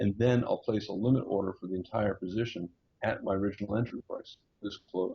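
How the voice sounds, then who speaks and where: Fairly low-pitched and somewhat breathy, a man speaks at a fairly quick pace with fairly even intonation. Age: 60s. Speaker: day trader. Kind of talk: interview with chart walkthrough.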